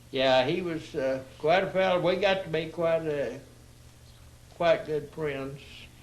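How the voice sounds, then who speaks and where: Through audible room echo, a man with a fairly high pitch speaks with fairly even intonation. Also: fairly slow pace. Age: 80s+. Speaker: retired railroad worker. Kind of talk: casual chat. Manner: halting.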